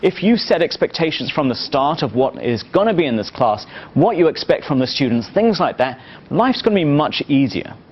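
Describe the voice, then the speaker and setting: A man's fairly high voice at a fairly quick pace, swinging very widely in pitch, over noticeable background noise. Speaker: marketing professor. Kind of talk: lecture. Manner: fast.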